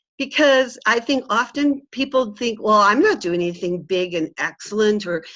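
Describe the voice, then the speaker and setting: A woman's bright, sharp voice, fairly high in pitch, with lively intonation at a moderate pace. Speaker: teacher and webinar presenter. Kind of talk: webinar presentation.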